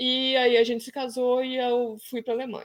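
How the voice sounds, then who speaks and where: A high-pitched woman's voice in a very clean recording with a silent background. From Brazil. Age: 30s. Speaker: travel blogger. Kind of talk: casual chat.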